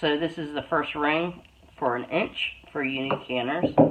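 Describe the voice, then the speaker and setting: The voice moves at a very slow pace, and noticeable background noise runs underneath. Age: 60s. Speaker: homesteader and canning vlogger. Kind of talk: casual tutorial. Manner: casual, with many filler ums.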